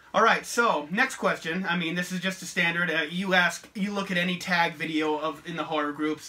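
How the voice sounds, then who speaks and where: A man with a high voice talks with ordinary pitch variation while noticeable background noise plays. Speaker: horror YouTuber. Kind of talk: casual chat. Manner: stuttering at times.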